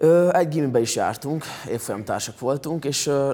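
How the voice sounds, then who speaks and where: An unremarkable speaking voice comes through at a moderate pace with lively intonation, in a very clean recording with a silent background. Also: man. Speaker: singer and former tennis player. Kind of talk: interview chat.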